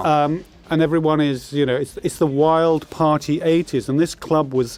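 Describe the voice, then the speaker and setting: A man's fairly high-pitched voice, flat and monotone, at a moderate pace. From London, England. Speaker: film director. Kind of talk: DVD commentary chat.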